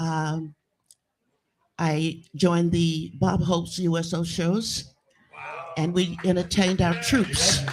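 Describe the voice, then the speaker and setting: Music plays in the background as a woman speaks in an American accent at a fairly low pitch. Her pace is very slow, her intonation fairly even, with long, frequent pauses. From US South. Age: 80s+. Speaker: blues singer. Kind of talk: interview. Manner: halting.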